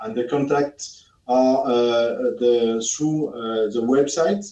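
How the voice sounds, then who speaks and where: A man with a French accent, a dark, mellow tone and a fairly slow pace. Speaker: product expert. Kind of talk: webinar Q&A. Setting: live webinar studio. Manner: halting, many fillers.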